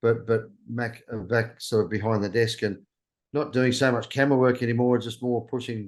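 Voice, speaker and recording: In a strong Australian accent, a man speaks at medium pitch and a moderate pace with fairly even intonation. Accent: broad Australian. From Australia, New South Wales (Orange, Sydney). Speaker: travel YouTuber. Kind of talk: interview. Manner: halting.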